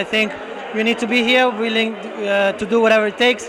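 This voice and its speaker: A high-pitched man in an Italian accent at a fairly quick pace, monotone and flat, with noticeable background noise and audible room echo. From Italy. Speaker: real estate broker. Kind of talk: interview. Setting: networking event at a bar.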